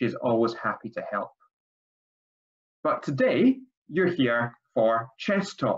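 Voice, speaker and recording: Someone speaks at a fairly slow pace in a Scottish accent. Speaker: language school principal. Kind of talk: webinar introduction.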